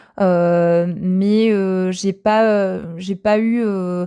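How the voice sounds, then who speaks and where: Against a quiet background, a woman talks at a medium pitch in a dark, mellow tone with fairly even intonation. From Normandy, France. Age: 30s. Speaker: testimony guest. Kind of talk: testimony. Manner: hesitant, many fillers.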